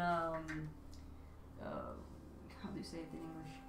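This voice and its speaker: A woman speaks in a Romanian accent at a moderate pace. The room echo is audible and background noise noticeable. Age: 30s. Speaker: artist live streamer. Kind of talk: casual chat. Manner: halting.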